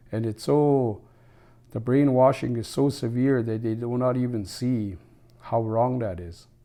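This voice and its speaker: A man's dark, mellow tone comes through as he talks fairly slowly. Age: 60s. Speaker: former First Nations chief, elder. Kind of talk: interview.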